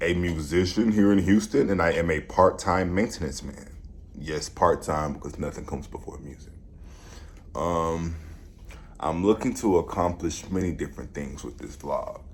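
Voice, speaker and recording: A man speaks at a moderate pace in a very deep, low pitch. His loudness swings widely. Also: ordinary pitch variation. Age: 20s. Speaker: vlogger and musician. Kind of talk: vlog monologue.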